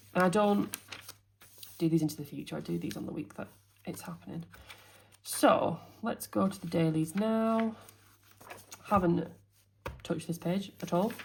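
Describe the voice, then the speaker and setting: A somewhat breathy woman at a fairly low pitch, moderate pace and ordinary pitch variation, with long, frequent pauses. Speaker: teacher and planner youtuber. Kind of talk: casual planner walkthrough.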